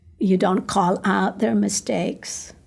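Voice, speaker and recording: A somewhat breathy woman with a Filipino accent, a medium pitch and a very slow pace, on a very clean recording with a silent background. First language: Tagalog. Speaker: ministry coach. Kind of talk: podcast interview.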